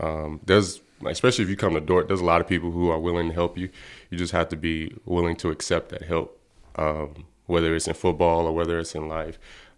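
A man with an American accent and a very deep, low voice, talking very fast in a flat monotone over a very clean recording with a silent background. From Texas. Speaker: college football player. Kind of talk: casual interview. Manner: polite.

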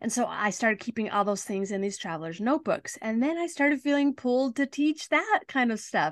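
Lively intonation marks a normal speaking voice, captured as a dry, close sound with no echo against a quiet background. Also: woman. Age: 50s. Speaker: life coach. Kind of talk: casual chat.

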